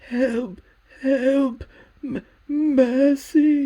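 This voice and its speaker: A put-on character voice is used. It sits high in pitch. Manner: pleading, desperate.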